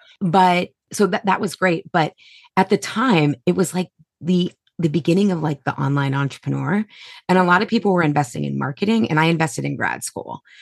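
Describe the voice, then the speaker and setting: A woman with an American accent talks at a fairly quick pace in a plain, everyday voice, fairly low in pitch. Her pitch varies in an ordinary way, and the sound is dry and close with no echo. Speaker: holistic nutritionist and health coach. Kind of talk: interview conversation.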